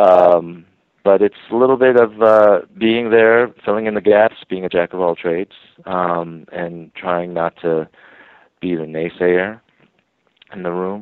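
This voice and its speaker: In an American accent, a man with a very deep, low pitch speaks with fairly even intonation. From New York City and suburban New Jersey. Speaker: TV writer and producer. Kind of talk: interview.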